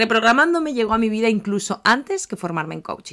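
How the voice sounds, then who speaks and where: Against a silent background in a very clean recording, a woman speaks at medium pitch with lively intonation. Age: 30s. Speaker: life coach and podcast host. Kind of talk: podcast monologue. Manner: talkative, chatty.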